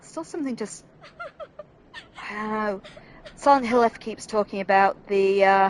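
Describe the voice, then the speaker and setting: Speaking at a fairly high pitch, a woman shows ordinary pitch variation and big swings in loudness. She leaves long, frequent pauses, and there is noticeable background noise. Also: moderate pace. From northern England. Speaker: gaming streamer. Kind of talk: let's play commentary. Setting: home room while gaming. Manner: casual, chatty.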